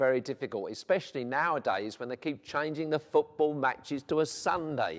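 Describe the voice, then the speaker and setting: A man with a South London accent. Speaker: vicar. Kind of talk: interview. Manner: hesitant, with frequent fillers.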